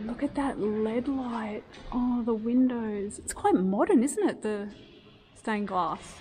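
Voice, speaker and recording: Over light background noise, a woman with an Australian accent talks at a very slow pace, her fairly high pitch showing ordinary variation. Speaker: architecture video host. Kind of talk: vlog walking tour. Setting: inside a church. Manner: loud; animated. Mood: admiring, enthusiastic. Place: church. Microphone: phone near.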